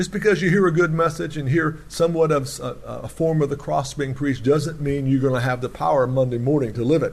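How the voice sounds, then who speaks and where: A man speaks very fast with a somewhat breathy voice and ordinary pitch variation. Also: fairly high pitch for a man. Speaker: preacher. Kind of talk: sermon. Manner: animated.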